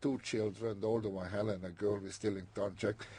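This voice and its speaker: Somewhat breathy man with a non-native accent, fairly low pitch and fairly even intonation. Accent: foreign. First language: not English. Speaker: immigrant interviewee. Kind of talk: oral history interview. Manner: halting.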